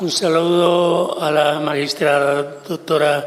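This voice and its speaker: A man speaks in an Italian accent with fairly even intonation. Audible room echo surrounds his voice. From Italy. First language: Italian (speaking Spanish). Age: 70s. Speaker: kidnapping victim, translator. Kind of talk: testimony.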